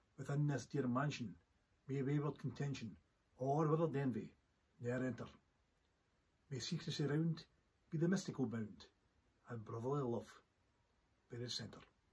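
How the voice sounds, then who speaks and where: Pausing long and often, a man speaks at a moderate pace and medium pitch, somewhat breathy, with ordinary pitch variation. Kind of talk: poetry reading.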